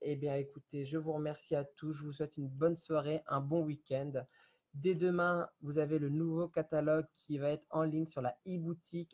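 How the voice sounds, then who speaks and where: Somewhat breathy, a man speaks at a moderate pace with fairly even intonation and a fairly high pitch. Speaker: home sales consultant for candles. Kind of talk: live-stream sales pitch. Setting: Facebook live video from home. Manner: halting, stammering.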